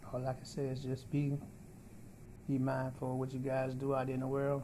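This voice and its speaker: With a dark, mellow tone and a somewhat breathy quality, a man speaks at a moderate pace in a flat monotone over light background noise. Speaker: vlogger. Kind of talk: casual vlog chat. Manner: weak, breathy patient voice with pauses. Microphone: phone near.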